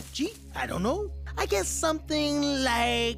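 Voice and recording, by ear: A cartoonish character voice. Clear music plays in the background. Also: female-sounding voice, moderate pace.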